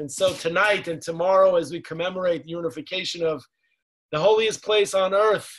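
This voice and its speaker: A man's high voice with ordinary pitch variation at a moderate pace, against a quiet background. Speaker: program host introducing a speaker. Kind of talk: formal introduction. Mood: warm, celebratory. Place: home room. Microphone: video call.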